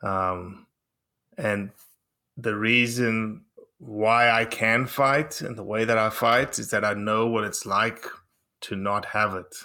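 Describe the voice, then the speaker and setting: A man speaks very slowly with a bright, sharp tone, pausing long and often, in a very clean recording with a silent background. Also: medium pitch for a man, fairly even intonation. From South Africa. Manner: measured, slightly dramatic delivery.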